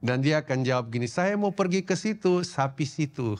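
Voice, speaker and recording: The intonation is lively. The pace stays moderate. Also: man. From Indonesia, Papua (Sorong). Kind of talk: sermon.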